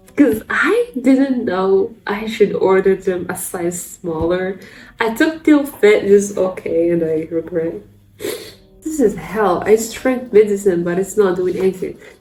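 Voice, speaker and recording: Lively intonation from a woman at a medium pitch, fairly slow pace, music playing in the background. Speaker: beauty and fashion content creator. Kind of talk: casual vlog talk. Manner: halting.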